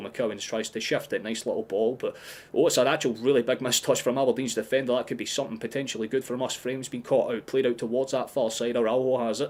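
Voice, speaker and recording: A man with a strong Scottish accent talking at a very fast pace in an animated tone. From Scotland. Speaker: football fan streamer. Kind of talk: live watchalong commentary.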